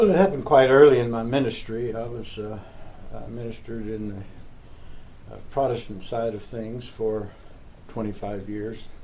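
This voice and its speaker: A man's dark, mellow voice in an American accent, medium-pitched at a moderate pace, with ordinary pitch variation, big swings in loudness, and audible room echo. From Texas (Uvalde). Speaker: street minister, pastor. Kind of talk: interview. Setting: office.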